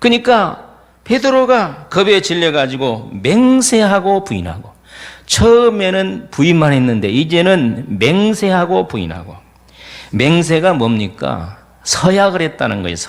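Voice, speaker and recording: His pitch is high and swings very widely as this man speaks at a fairly slow pace. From Jeolla region, Korea. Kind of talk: sermon, preaching.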